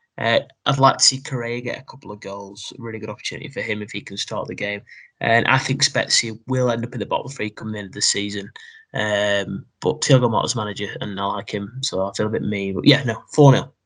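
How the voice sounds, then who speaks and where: A man with a British accent at a fairly quick pace, medium-pitched with ordinary pitch variation and big swings in loudness, over a quiet background. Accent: British, noticeable. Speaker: football podcast co-host. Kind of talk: casual chat.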